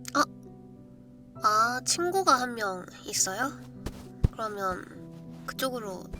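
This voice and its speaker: With music in the background, a woman speaks at a very slow pace. Her pauses are long and frequent. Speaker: virtual streamer doing live ASMR roleplay. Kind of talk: live improvised roleplay ASMR, casual talk.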